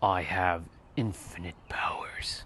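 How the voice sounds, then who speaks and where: A put-on character voice from a man, raspy and very deep in pitch. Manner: grand, self-assured.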